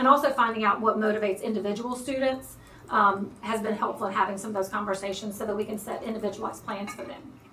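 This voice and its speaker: A woman speaks very fast at a fairly high pitch, her loudness swinging widely over noticeable background noise. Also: fairly even intonation. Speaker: school administrator. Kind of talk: presentation to school board.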